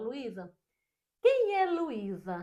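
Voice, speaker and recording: A woman speaks with a dark, mellow tone. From Brazil, Northeast. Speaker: podcast host. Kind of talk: casual interview.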